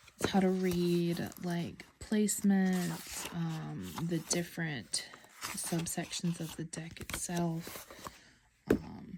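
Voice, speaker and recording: A woman with an American accent speaks at a very slow pace amid noticeable background noise. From US South. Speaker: tarot deck reviewer. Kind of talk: casual show-and-tell video. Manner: hesitant, many fillers.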